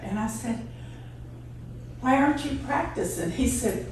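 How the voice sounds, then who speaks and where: A woman with a Texan accent speaks at a moderate pace amid noticeable background noise and audible room echo. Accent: Texan Southern US. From East Texas. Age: 80s+. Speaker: radio DJ's wife telling life story. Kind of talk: personal storytelling.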